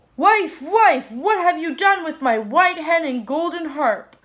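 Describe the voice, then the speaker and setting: In a put-on character voice, a woman projects at an extremely high pitch with a raised voice, speaking at a fairly slow pace. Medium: read story. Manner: growling, booming.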